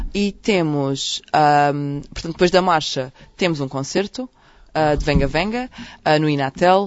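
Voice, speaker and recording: This woman's voice has a very deep, low pitch. She talks at a fairly slow pace with lively intonation. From Portugal, Évora (Alentejo). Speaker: doctor and LGBT health activist. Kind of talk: radio interview. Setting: radio studio. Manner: halting, many repetitions and fillers.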